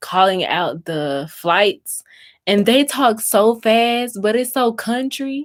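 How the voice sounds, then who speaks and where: On a very clean recording with a silent background, a woman talks at a very slow pace with lively intonation. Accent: slight Southern US. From US South, Mississippi. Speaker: crafting YouTuber. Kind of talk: live stream chat while crafting. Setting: YouTube live stream. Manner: slow, drawn-out vowels.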